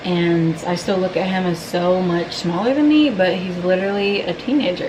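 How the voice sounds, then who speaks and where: Through audible room echo and noticeable background noise, a woman talks at a medium pitch. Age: 20s. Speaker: lifestyle vlogger. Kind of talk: vlog talk to camera.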